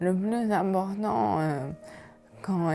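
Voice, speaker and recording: Very slow delivery with music in the background. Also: woman. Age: 40s. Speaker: person living with ALS. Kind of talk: documentary interview. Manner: hesitant, many fillers.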